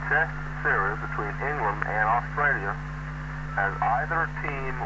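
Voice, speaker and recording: Loud background noise sits behind a man speaking with an American accent, the sound dry with no echo. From United States. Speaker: CB radio quiz master. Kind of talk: radio quiz host.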